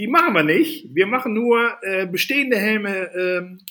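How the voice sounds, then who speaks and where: With a bright, sharp tone, a man speaks very slowly and with lively intonation. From Netherlands. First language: Dutch (speaking German). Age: 40s. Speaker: safety equipment entrepreneur. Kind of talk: casual interview.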